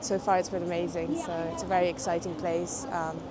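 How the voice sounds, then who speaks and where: A woman speaks with audible room echo and noticeable background noise in the recording. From southern Portugal, French parents; London from 16. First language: French and Portuguese. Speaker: graduate student interviewed on the street. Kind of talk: street interview. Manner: hesitant, many fillers.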